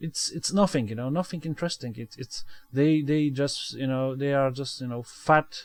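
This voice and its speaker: This man has a Polish accent and a fairly high voice. He speaks at a moderate pace with fairly even intonation. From Poland. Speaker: gaming video creator. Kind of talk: let's play commentary. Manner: halting, many fillers and repetitions.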